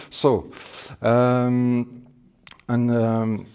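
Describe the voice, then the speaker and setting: Here is a man with a French accent and medium pitch. His tone is dark and mellow. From France. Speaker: scale modeler. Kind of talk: demonstration talk. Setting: exhibition with public. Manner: halting.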